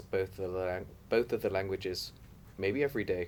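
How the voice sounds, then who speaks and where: A man with a southern English accent and ordinary pitch variation, on a very clean recording with a silent background. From southwest England, Torquay. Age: 30s. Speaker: migrant interviewee. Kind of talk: interview.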